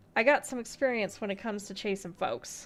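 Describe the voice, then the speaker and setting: A gravelly, put-on character voice, female-sounding and fairly high in pitch, at a fairly quick pace with faint music in the background. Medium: game stream. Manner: sly, folksy, knowing.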